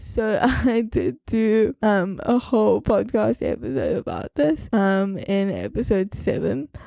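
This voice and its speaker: This woman's voice sits fairly high. Its tone is dark and mellow. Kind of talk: storytelling monologue. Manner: casual, filler-heavy.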